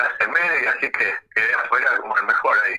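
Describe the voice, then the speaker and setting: A man talks at a fairly quick pace. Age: 60s. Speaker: internet radio host. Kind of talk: radio interview. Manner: halting.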